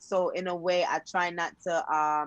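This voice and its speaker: A woman with a Jamaican accent against a quiet background. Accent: Jamaican accent, noticeable. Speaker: gospel singer. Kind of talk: casual interview.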